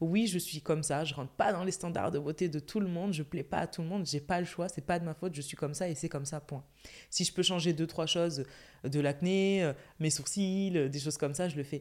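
Fairly low in pitch, this woman has an ordinary speaking voice. She keeps a moderate pace with ordinary pitch variation. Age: 20s. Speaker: influencer and content creator. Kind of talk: casual chat.

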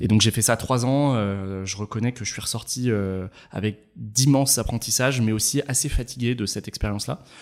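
A man with a normal speaking voice talks at a moderate pace, his pitch medium and his intonation fairly even. The recording is very clean, with a silent background. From France, Ain department near Geneva. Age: 30s. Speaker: startup founder and CEO. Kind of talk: casual interview.

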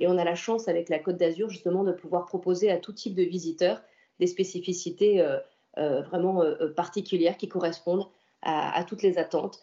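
A woman with a fairly low pitch speaks moderately in a normal speaking voice. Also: fairly even intonation. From French Riviera, Antibes. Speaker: senator and local politician. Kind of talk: interview.

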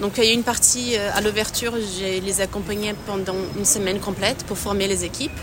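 A woman speaks at a fairly quick pace. Her intonation is monotone and flat, with noticeable background noise behind her. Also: medium pitch for a woman. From Brazil. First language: Portuguese (speaking French). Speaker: private chef and consultant. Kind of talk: casual interview. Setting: at a client's café.

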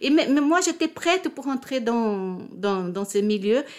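A Portuguese accent with very wide pitch swings, in a very clean recording over a silent background. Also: woman. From Brazil, Rio de Janeiro. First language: Portuguese (speaking French). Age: 60s. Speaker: retired diplomat and convert to Judaism. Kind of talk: personal testimony interview. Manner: halting, with repetitions.

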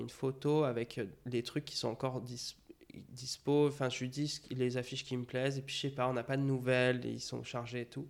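In a medium pitch, a man talks at a moderate pace. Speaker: graphic designer. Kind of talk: casual chat. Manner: talkative, flowing.

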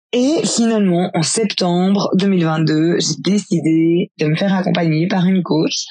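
A woman's medium pitch with ordinary pitch variation at a very slow pace. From Belgium, rural farm. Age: 30s. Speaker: cycling travel guide and life coach. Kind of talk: personal testimony. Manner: hesitant, many fillers.

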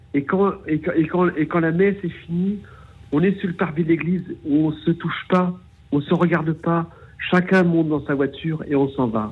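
His pitch is high. This man keeps his intonation fairly even. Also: moderate pace. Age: 40s. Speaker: caller. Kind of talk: testimony. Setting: phone call. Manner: halting, repeating words.

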